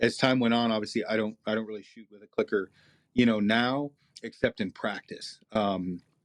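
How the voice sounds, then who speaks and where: A man's medium-pitched voice with fairly even intonation and big swings in loudness, dry and close with no echo, against a quiet background. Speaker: archery expert. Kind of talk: interview. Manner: fast.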